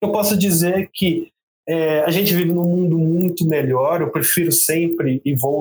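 This man's pitch is fairly high, and he talks at a fairly slow pace. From rural São Paulo state, Brazil. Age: 30s. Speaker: product manager. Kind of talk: interview. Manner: halting, many fillers.

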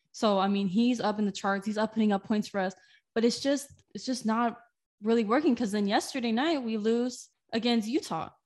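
At a fairly quick pace, a woman with a fairly high pitch speaks in an enthusiastic tone with ordinary pitch variation. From Southern California, Inland Empire (Moreno Valley). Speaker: student sports reporter and podcast co-host. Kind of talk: casual chat.

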